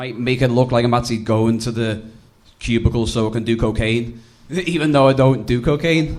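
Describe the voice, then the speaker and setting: A man's medium-pitched voice with ordinary pitch variation and audible room echo. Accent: Liverpool. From England, Liverpool. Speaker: comedian. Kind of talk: stand-up. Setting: stage with audience.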